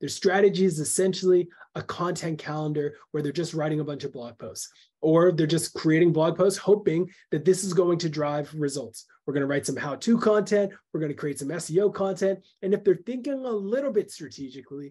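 The speaker moves at a fairly quick pace with ordinary pitch variation and big swings in loudness. The background is quiet. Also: man. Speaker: webinar presenter. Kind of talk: webinar talk. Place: home room.

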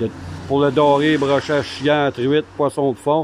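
A man with a Quebec accent at a fairly high pitch and a moderate pace. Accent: Québécois French. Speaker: fishing video host. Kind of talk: casual interview in a tackle shop. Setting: in a fishing store. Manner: hesitant, many filler sounds.

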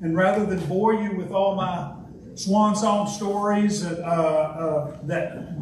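There is audible room echo and light background noise as a man speaks very slowly in a high pitch with fairly even intonation. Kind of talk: speech at a club meeting. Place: meeting room.

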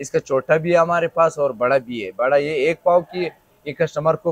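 Dry with no echo, a man's voice keeps a moderate pace and fairly even intonation. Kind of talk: interview answer. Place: shop. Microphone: lapel.

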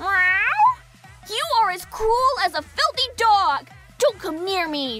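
A put-on character voice at an extremely high pitch, delivered at a very slow pace over faint background music. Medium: audio drama. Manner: catlike, indignant.

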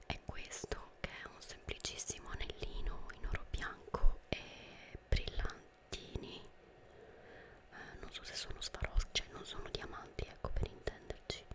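A soft-spoken woman whispers at a fairly slow pace against loud background noise. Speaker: ASMR creator. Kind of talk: soft-spoken ASMR show and tell. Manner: close, soft ASMR whisper. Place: home room. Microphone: studio mic.

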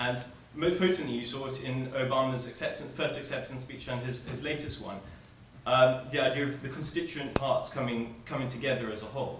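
The speaker moves at a fairly quick pace with fairly even intonation, amid audible room echo and light background noise. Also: man. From South Africa. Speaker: student debater. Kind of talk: debate speech. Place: hall. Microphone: camera far.

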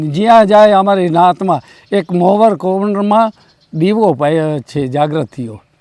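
A man's high-pitched voice, dark and mellow in tone, ordinary pitch variation, dry and close with no echo. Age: old. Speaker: devotee recalling memories. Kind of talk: interview testimony. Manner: halting.

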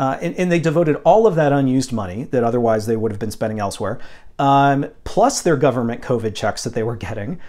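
With little sound behind him, a man speaks at a fairly quick clip. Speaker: vinyl collector vlogger. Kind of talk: casual vlog chat. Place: home room. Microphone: lapel.

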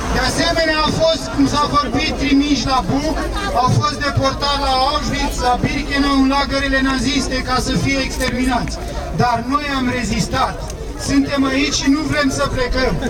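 Crowd noise runs in the background as a man speaks at a fairly slow pace. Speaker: speaker. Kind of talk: protest speech. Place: street.

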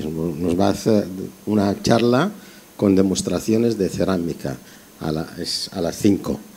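A man speaks at a fairly slow pace with a very deep, low pitch. His pitch varies in an ordinary way, with long, frequent pauses. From Algeria. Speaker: festival organizer; event moderator. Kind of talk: announcement. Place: hall.

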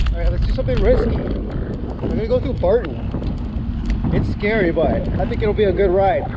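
The speech moves at a fairly quick pace. Loud background noise runs behind it. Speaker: cyclist vlogger. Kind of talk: casual vlog chat. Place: bicycle. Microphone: phone near.

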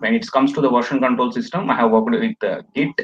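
A man speaks with an Indian accent. Light background noise can be heard. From South India. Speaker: DevOps engineer, interview candidate. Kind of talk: mock job interview. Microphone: video call.

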